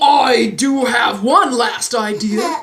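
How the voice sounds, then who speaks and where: The put-on character voice is croaky and fairly high in pitch. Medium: read story. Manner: helpful, friendly.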